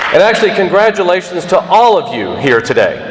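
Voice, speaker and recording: Loud and surrounded by audible room echo, a man speaks over noticeable background noise. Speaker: commencement speaker. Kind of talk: speech. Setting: auditorium with audience.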